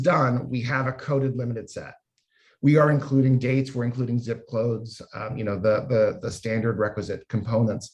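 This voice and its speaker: A man's somewhat breathy, medium-pitched voice at a moderate pace. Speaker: health data researcher / panel moderator. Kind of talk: panel presentation.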